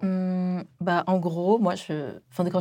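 A woman's dark, mellow, fairly low voice on a very clean recording with a silent background. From France, Chinese family from Wenzhou. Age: 20s. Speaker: food content creator. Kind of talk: casual chat.

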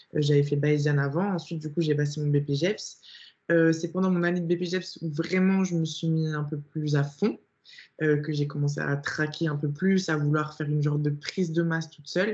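The woman's pitch is very deep and low. She keeps a moderate pace and fairly even intonation. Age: 20s. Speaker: online fitness coach and bodybuilding athlete. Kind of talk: casual interview chat.

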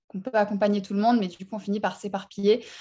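In a somewhat breathy, dark and mellow tone, a woman speaks at a medium pitch with monotone, flat intonation. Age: 20s. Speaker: life purpose coach. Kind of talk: casual chat.

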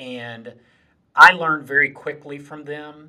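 The voice has a bright, sharp tone and speaks with a Southern US accent. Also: man. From South Carolina Lowcountry, Moncks Corner. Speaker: community college president. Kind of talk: interview.

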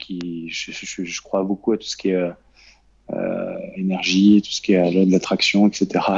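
This man's pitch is fairly low. His pace is moderate. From Normandy, France. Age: 30s. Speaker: trader and trading coach. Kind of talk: interview. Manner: halting, many fillers and repetitions.

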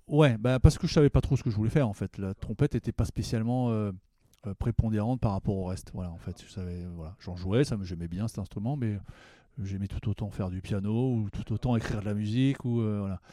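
A man's dark, mellow tone at a fairly quick pace, with big swings in loudness and a dry, close sound with no echo. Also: fairly low pitch for a man, ordinary pitch variation, very clean recording, silent background. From Paris suburbs, Val-d'Oise. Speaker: jazz trumpeter. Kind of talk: interview. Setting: studio. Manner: hesitant, repeats words.

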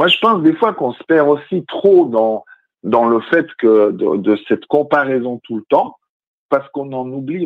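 Very wide swings in pitch from a man talking fairly slowly. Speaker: radio guest. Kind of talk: casual chat. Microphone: phone line changes his voice.

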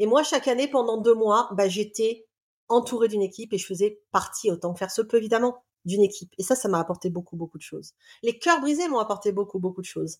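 Talking very fast, a woman with a fairly high pitch uses ordinary pitch variation. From Réunion island. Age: 40s. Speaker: love coach and therapist. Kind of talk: casual interview, personal testimony.

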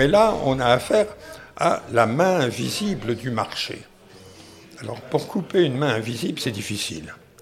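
Amid noticeable background noise, a man at a medium pitch speaks fairly slowly with long, frequent pauses and very wide pitch swings. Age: 80s+. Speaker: economics professor. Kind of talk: interview. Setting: café.

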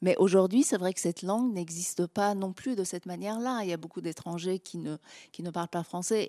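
In a very clean recording with a silent background and a dry, close sound with no echo, a woman with a dark, mellow tone speaks at medium pitch and a moderate pace with ordinary pitch variation. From Iran. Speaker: novelist and filmmaker. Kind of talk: public talk.

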